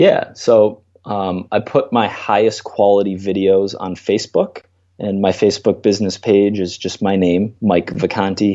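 A man talks with an American accent at a moderate pace. His fairly low voice keeps a monotone, flat intonation. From Minnesota, US. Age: 20s. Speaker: strength coach. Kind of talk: interview.

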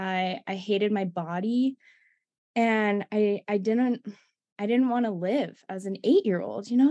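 A woman speaks in an American accent. Her medium-pitched voice has a dark, mellow tone. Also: quiet background. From US East Coast. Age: 20s. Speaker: recovery coach. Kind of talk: interview.

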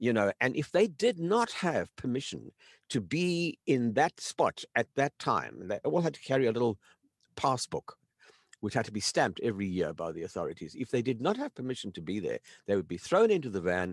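Dry and close with no echo, a man's voice moves at a fairly quick pace through very wide pitch swings. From South Africa. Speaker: documentary filmmaker and author. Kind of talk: interview storytelling. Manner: halting.

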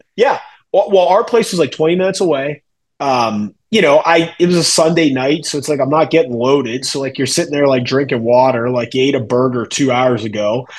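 A man's plain, everyday voice at a fairly high pitch, with lively intonation and a fairly quick pace. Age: 30s. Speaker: wrestling podcast host. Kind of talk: casual chat.

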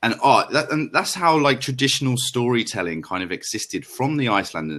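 The speaker is a man with a London accent. His intonation is lively. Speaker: podcast guest, travel storyteller. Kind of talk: casual chat. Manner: animated.

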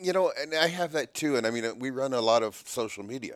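A man with an ordinary speaking voice talks at a moderate pace, medium in pitch with ordinary pitch variation. The recording is very clean, with a silent background and a dry, close sound free of echo. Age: 60s. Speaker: podcast host, trapper. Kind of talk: casual interview. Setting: in person, downtown Toronto.

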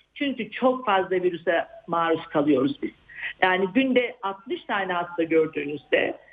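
A woman with an ordinary speaking voice, a medium pitch and ordinary pitch variation at a moderate pace. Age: 60s. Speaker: psychiatrist. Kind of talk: interview.

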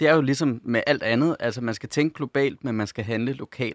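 A man's unremarkable speaking voice, medium in pitch and fairly even in intonation, at a moderate pace, in a dry, close, echo-free sound and a very clean recording with a silent background. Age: 40s. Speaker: corporate sustainability manager. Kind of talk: radio panel discussion. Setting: studio.

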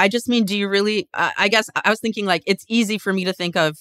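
Very fast and animated, a woman speaks in a bright, sharp tone, the sound dry and close with no echo. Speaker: comedian. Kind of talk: casual chat.

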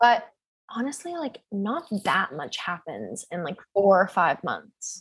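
In an American accent, a somewhat breathy woman at medium pitch speaks at a very slow pace, with very wide pitch swings and big swings in loudness. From US Pacific Northwest (Seattle). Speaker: sex educator and mental health advocate. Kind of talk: casual interview chat.

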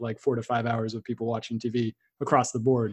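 A man talks at a very fast pace with a medium pitch. His voice is somewhat breathy, with monotone, flat intonation. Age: 30s. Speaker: podcast host. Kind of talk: interview. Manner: halting.

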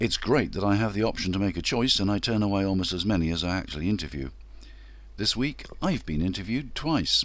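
A man talks at a fairly quick pace with lively intonation. His voice is fairly low-pitched and shows vocal fry. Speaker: podcast host. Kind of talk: scripted narration.

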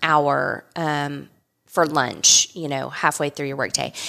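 Speaking in an American accent at a moderate pace, the woman has a very deep, low pitch, vocal fry, and a bright, sharp tone. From South Texas. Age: 50s. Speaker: winery co-owner and winemaker. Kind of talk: interview.

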